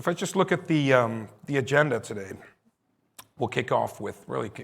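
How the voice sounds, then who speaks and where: A man speaks with vocal fry at a moderate pace. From Netherlands. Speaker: company CEO. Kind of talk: conference presentation. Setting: stage with live audience and stream.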